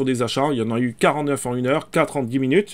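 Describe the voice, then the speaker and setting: A man on a very clean recording against a silent background. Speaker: crypto and NFT YouTuber. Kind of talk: screen-share market commentary. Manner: fast; hesitant, many fillers.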